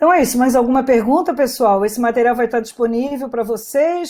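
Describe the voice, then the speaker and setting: Her dark, mellow tone carries lively intonation as this woman talks at a moderate pace. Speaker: speaker giving a webinar talk. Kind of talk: webinar talk with Q&A. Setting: online webinar. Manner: direct.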